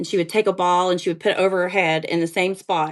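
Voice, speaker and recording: Against a quiet background, a woman with a southern Appalachian accent speaks at a fairly low pitch. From eastern Kentucky, Appalachia (Greenup County). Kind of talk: podcast interview.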